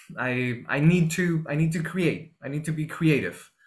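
The room echo is audible. Within it, a man talks at a fairly slow pace. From Peru, Lima. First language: Spanish. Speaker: actor. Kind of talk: interview. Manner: halting, many repetitions.

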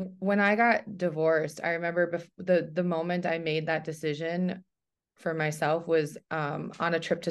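Over a quiet background, a woman with a plain, everyday voice speaks at a fairly slow pace and fairly low pitch, her intonation fairly even. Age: 40s. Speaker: professional traveler and content creator. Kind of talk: casual interview.

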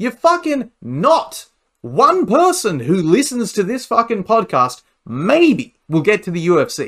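This man has an Australian accent and a high pitch, with very wide pitch swings. He speaks at a fairly slow pace. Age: 30s. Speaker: amateur fighter and pro wrestler. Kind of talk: casual interview.

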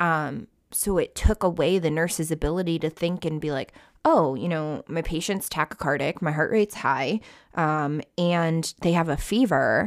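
Captured in a very clean recording with a silent background and a dry, close sound with no echo, a woman with a normal speaking voice and an American accent talks at a moderate pace, using a fairly low pitch and ordinary pitch variation. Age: 20s. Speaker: ICU nurse and nursing instructor. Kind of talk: casual interview chat.

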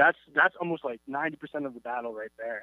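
A man speaks with an American accent at a fairly high pitch. He has a normal speaking voice. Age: 20s. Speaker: pop-punk band member. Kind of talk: casual interview.

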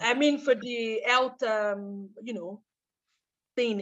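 Against a quiet background, a woman speaks at a very slow pace. Her voice is high-pitched, with ordinary pitch variation. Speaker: trade compliance consultant and community organizer. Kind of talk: interview. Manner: halting.

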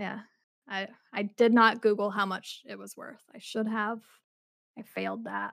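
An animated woman with an American accent speaks at a moderate pace in a medium-pitched voice with vocal fry. Her loudness swings widely, and she takes long, frequent pauses. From Utah. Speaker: podcast co-host. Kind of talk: casual chat with history storytelling. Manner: animated, laughs often.

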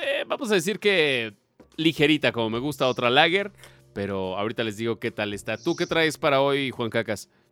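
Over music in the background, a man with a Mexican accent speaks at a moderate pace and medium pitch. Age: 30s. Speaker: podcast host. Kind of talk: casual chat.

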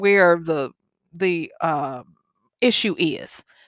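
Heard on a very clean recording with a silent background, a woman's lively intonation comes through in a dry, close sound with no echo. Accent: Southern US. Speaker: podcast host and life coach. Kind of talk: solo podcast monologue.

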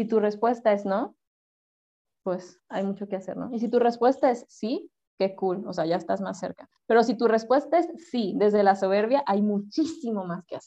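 A woman speaks in a Sinaloan accent. Her pitch is fairly high. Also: ordinary pitch variation, moderate pace. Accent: northern Mexican (Sinaloa) Spanish. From Mexico, Culiacán, Sinaloa. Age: 30s. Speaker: psychologist. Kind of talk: casual interview chat.

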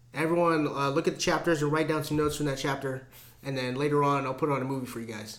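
A man speaks very fast at a fairly high pitch with fairly even intonation, over noticeable background noise. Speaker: podcast co-host. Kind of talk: casual chat. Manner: casual, heavy profanity.

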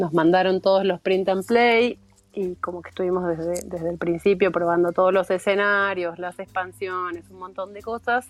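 At a moderate pace, a woman speaks with a monotone, flat intonation at a medium pitch, her loudness swinging widely. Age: 40s. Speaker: board game hobbyist. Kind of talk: casual interview.

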